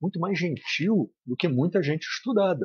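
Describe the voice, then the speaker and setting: This man's voice sits high in pitch and moves through very wide pitch swings. He speaks at a fairly slow pace. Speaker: spiritist study leader. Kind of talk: lecture. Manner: serious.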